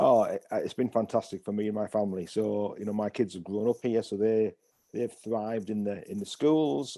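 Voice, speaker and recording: A man's fairly low voice in a northeast English accent, dark and mellow in tone, at a fairly quick pace with fairly even intonation. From northeast England, Hartlepool. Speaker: pastor. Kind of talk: interview. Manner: halting.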